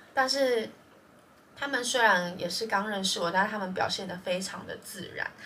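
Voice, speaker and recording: A woman at medium pitch with ordinary pitch variation, amid audible room echo and noticeable background noise. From Taiwan. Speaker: podcast co-host. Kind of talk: casual chat.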